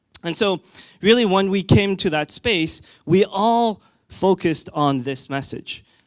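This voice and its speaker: In a French accent, the voice shows ordinary pitch variation, recorded very cleanly with a silent background and a dry, close sound with no echo. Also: man. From France. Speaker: conference speaker, tech product executive. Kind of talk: conference talk. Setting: stage with audience. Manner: frequent fillers and hesitations.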